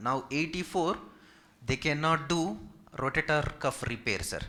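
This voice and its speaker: Speaking with a Telugu accent, a man has a bright, sharp tone. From India, Hyderabad. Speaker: physiotherapist. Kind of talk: Q&A session with community seniors. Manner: polite, formal.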